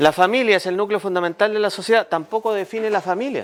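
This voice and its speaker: A man speaks at a fairly quick pace. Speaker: lawyer giving a civics talk. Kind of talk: public talk to neighbours.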